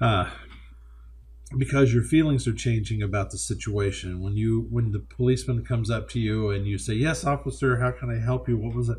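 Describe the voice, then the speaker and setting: Speaking at a fairly quick pace, a man uses a fairly low pitch with very wide pitch swings. His voice is somewhat breathy, and there is audible room echo. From Kentucky. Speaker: college instructor. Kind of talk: lecture. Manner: halting, many fillers and repetitions.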